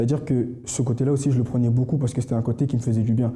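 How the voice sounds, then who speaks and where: A man's somewhat breathy, dark and mellow voice at a medium pitch. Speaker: church member giving testimony. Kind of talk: testimony. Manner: fast; halting, many fillers and repetitions.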